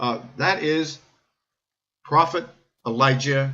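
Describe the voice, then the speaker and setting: This man speaks with an American accent at a fairly high pitch. His tone is bright and sharp, and his intonation fairly even. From United States. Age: 70s. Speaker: natural health broadcaster and bishop. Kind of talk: talk show monologue. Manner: halting, many repetitions.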